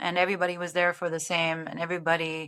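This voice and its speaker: With a German accent, a woman speaks in a fairly low, bright and sharp voice. Her intonation is flat and monotone. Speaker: TV sports broadcast producer and director. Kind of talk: interview. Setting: podcast interview. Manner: hesitant, many fillers.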